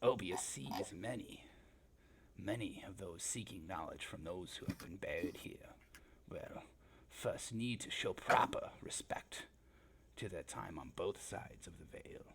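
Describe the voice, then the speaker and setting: A man whispers in a put-on character voice at a moderate pace. His loudness swings widely, broken by long, frequent pauses. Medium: actual play. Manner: mutters, speaks of himself in third person, broken grammar.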